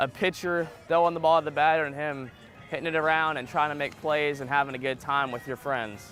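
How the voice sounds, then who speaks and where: Music plays in the background while someone with an American accent speaks at a fairly quick pace. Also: man, fairly high pitch for a man. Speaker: sports anchor and reporter. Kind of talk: TV sports news reporting.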